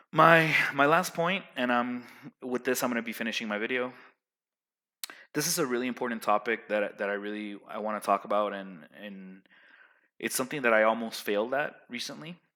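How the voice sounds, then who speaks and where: On a very clean recording with a silent background, a man speaks loudly at a fairly quick pace and medium pitch, with a bright, sharp tone, ordinary pitch variation and long, frequent pauses. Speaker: vlogger giving life advice. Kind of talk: casual monologue. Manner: animated.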